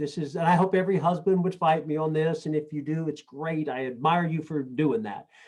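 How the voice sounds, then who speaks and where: An ordinary speaking voice comes from a man talking at a fairly quick pace and a fairly high pitch. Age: 60s. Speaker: network marketing leader. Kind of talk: motivational talk. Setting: video call.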